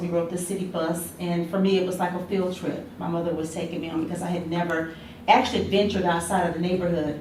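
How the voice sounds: The voice has an American accent and a fairly quick pace. There is little pitch movement, and room echo can be heard. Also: woman.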